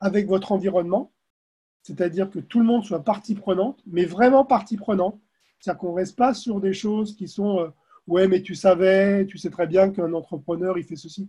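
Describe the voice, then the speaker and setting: A man talks in a high pitch with a dark, mellow tone. His pace is moderate and his pitch variation ordinary. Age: 50s. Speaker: career transition coach. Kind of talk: interview. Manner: halting, frequent hesitations.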